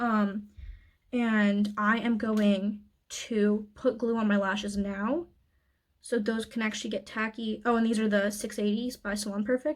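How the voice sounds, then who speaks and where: This woman's voice is somewhat breathy. Her intonation stays monotone and flat. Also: fairly high pitch for a woman, fairly slow pace. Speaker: beauty youtuber. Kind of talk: makeup tutorial voiceover. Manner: frantic.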